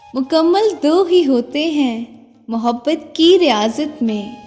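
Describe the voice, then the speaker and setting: Over music in the background, a soft-spoken woman talks in a soothing tone with lively intonation. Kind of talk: poetry reading. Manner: soothing, soft-spoken.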